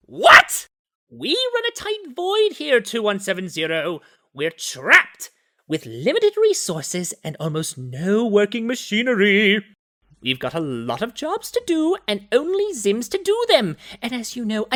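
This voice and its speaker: A cartoonish character voice, fairly high in pitch, with a smug tone at a moderate pace. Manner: smug, condescending.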